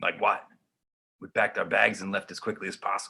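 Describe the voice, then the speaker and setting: A raspy, put-on character voice speaks at a fairly quick pace. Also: man. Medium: audio drama. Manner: hesitant, halting.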